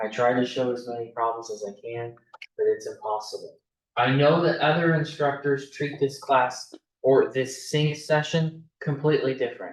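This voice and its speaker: A moderate-paced man's voice at a medium pitch, an unremarkable speaking voice. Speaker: math instructor. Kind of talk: lecture.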